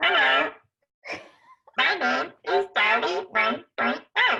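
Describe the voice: A put-on character voice at a very slow pace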